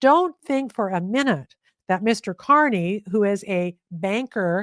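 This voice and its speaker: Speaking fairly slowly with a Canadian accent, a woman uses lively intonation at a medium pitch, recorded with a dry, close sound and no echo. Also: very clean recording, silent background. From Canada. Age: 60s. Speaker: investigative journalist. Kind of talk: interview conversation. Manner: animated.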